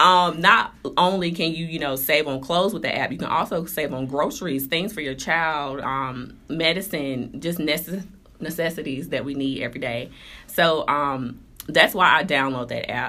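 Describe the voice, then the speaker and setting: A woman's very deep, low voice with a bright, sharp tone and an American accent, at a moderate pace with ordinary pitch variation and audible room echo. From North Carolina, Durham. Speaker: fashion blogger. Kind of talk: interview.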